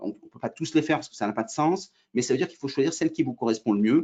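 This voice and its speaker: The words come at a very fast pace, with pitch varying in an ordinary way. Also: man. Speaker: trainer. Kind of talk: webinar presentation. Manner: hesitant, many fillers.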